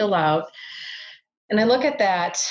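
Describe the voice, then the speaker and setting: Someone with an American accent talks at a moderate pace. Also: woman. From Minnesota, US Midwest. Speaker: biofeedback practitioner. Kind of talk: interview.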